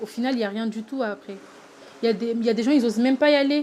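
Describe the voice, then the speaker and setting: Over noticeable background noise, a woman talks with fairly even intonation. Her pitch sits fairly high. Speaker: singing contest candidate. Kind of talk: interview testimony. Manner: halting.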